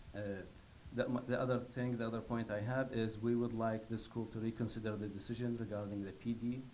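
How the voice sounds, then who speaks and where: This man speaks at a medium pitch and a fairly quick pace, in a monotone, flat intonation. There is audible room echo and noticeable background noise. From Iraq. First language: not English. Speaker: public commenter at school board meeting. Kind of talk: public comment. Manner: halting.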